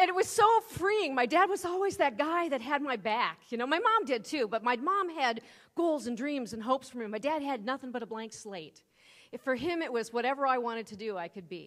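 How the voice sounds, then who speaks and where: A woman with a Midwestern accent speaks at a high pitch and a fairly quick pace in an animated tone. Her pitch swings very widely and her loudness rises and falls sharply. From US Midwest. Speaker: keynote speaker. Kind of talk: keynote speech. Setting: stage with audience.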